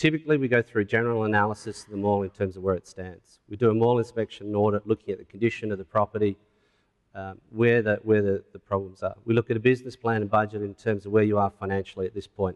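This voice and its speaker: Very fast and fairly even in intonation, a man's speech sits at a fairly low pitch. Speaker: retail consultant. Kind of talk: conference presentation. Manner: formal.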